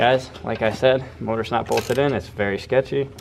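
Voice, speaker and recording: Speaking at a moderate pace, a man uses a medium pitch. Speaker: car enthusiast YouTuber. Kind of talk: casual garage vlog. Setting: garage shop. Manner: animated.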